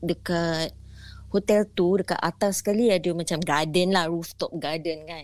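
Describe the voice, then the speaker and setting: On a very clean recording with a silent background, a woman with a fairly low pitch speaks at a moderate pace with fairly even intonation in an unremarkable speaking voice. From Singapore. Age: middle-aged. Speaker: caller sharing ghost stories. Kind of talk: storytelling.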